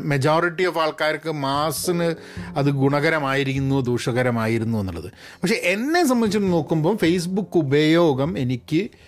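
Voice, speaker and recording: A man with a plain, everyday voice, fairly high in pitch, with lively intonation. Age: 50s. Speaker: podcast host. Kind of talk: casual monologue.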